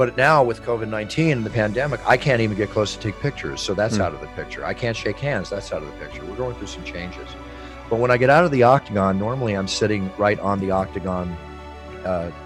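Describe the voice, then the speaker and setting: A man talks very fast at a fairly low pitch, his intonation lively and his loudness swinging widely, with music playing in the background. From United States. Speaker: ring announcer. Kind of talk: interview answer.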